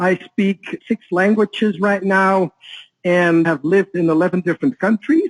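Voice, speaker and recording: This man's voice sits high in pitch, with ordinary pitch variation, in a dry, close sound with no echo. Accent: Dutch. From Netherlands. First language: Dutch. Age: 40s. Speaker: author and trading educator. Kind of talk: interview.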